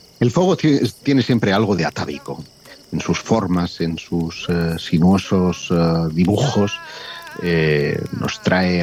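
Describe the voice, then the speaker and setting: Very slow speech amid noticeable background noise. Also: man. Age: 50s. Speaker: mystery researcher. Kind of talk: storytelling.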